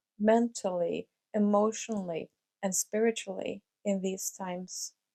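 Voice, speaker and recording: In a Norwegian accent, a woman talks at a very slow pace with medium pitch. The sound is dry and close, with no echo. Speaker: life coach / vlogger. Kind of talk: motivational talk to camera. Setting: home recording with mic and camera. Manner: hesitant, many fillers.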